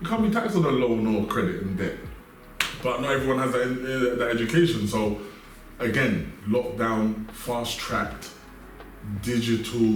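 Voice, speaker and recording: Over noticeable background noise, a man with a London accent speaks at a moderate pace and medium pitch, his pitch swinging very widely. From South West London. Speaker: entrepreneur. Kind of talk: interview answer.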